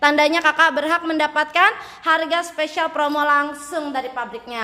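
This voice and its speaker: The voice is bright, sharp and shrill, moving at a fairly quick pace. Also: woman. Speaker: live-stream seller. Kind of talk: sales pitch. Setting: live stream. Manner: animated.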